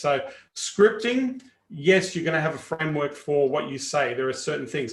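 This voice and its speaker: At a moderate pace, a man with an Australian accent speaks at a fairly high pitch. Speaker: sales coach. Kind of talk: live training webinar. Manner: casual, animated.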